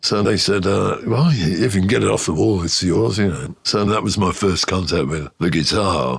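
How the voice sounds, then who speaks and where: A man's very deep, low voice in a Birmingham accent, lively in intonation and very even in loudness, at a moderate pace with hardly any pauses. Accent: Birmingham (Brummie) English. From Birmingham, England (Ladywood). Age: 70s. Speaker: musician. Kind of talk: interview storytelling. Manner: conversational, with many fillers.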